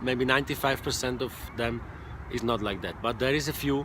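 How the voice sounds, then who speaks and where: The speaker talks at a moderate pace in a Swiss German accent, with ordinary pitch variation. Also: man. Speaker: online marketing coach, former truck driver. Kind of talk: casual direct-to-camera monologue.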